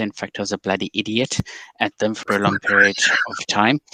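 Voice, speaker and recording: This man has a fairly low pitch and a South African accent. His tone is bright and sharp. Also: dry, close sound with no echo. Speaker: cybersecurity executive. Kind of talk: interview.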